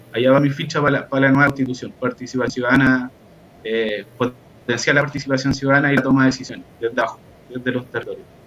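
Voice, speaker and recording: Over noticeable background noise, a man talks very fast at a medium pitch, his delivery monotone and flat. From Chile, Hualpén (Biobío). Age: 30s. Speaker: history teacher and environmental activist. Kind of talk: online panel discussion.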